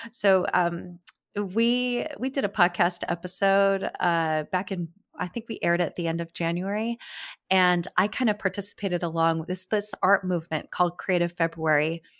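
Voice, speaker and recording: A woman with an American accent at medium pitch, moderate pace and ordinary pitch variation, in a very clean recording with a silent background and a dry, close sound with no echo. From California. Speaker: landscape photographer and podcast host. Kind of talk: casual chat.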